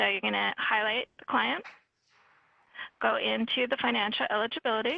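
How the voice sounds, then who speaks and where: The speech comes with long, frequent pauses and very even loudness. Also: woman. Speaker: software trainer. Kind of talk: training tutorial. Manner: fast.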